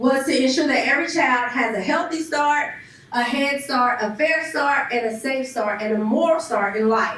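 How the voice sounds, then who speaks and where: Against noticeable background noise and audible room echo, a woman speaks at a high pitch with ordinary pitch variation. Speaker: panelist, youth education program leader. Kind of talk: presentation to an audience. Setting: church hall with live audience and Zoom.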